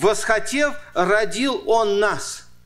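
A man speaks in a high-pitched voice. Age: 60s. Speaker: pastor. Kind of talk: sermon. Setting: church.

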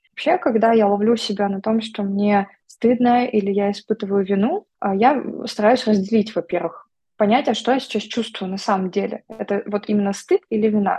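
At a moderate pace, a woman speaks in a dark, mellow tone at a fairly high pitch, somewhat breathy and with ordinary pitch variation. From Vladivostok, Russian Far East. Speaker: psychologist and therapist. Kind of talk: casual interview chat.

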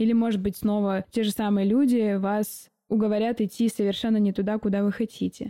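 With a dark, mellow tone and a fairly high pitch, a woman speaks at a moderate pace in a dry, close sound with no echo. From Siberia, Omsk. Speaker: podcast host, designer and mentor. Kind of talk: personal monologue podcast.

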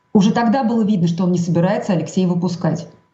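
The voice is somewhat breathy and carries lively intonation. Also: woman. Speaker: journalist. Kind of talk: interview. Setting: video call.

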